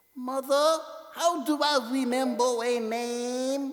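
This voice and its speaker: Delivered at a very slow pace, the voice is a put-on character voice. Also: man, extremely high pitch for a man. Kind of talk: read story. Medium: read story. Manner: small, stammering.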